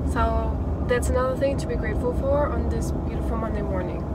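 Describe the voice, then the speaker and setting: Loud background noise plays behind a woman speaking. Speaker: vlogger. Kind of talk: casual vlog chat. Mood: relaxed, upbeat. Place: car. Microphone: phone near.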